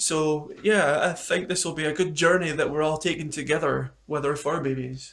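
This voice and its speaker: With a Scottish accent, a man talks at a moderate pace and fairly high pitch, his intonation fairly even and hardly any pauses between words. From Scotland. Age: 30s. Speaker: pet YouTuber. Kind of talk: casual chat.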